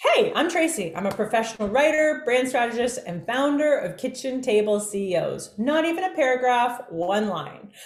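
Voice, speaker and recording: Amid noticeable background noise and audible room echo, a woman with a high pitch speaks in an animated tone at a moderate pace, her pitch swinging very widely. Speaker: business coach and workshop speaker. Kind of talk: online workshop presentation.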